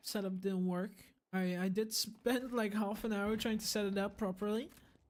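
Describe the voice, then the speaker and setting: With a non-native accent, a woman speaks at a moderate pace in a fairly high pitch, recorded very cleanly over a silent background. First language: not English. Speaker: esports caster. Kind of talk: live commentary; casual chat. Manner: animated.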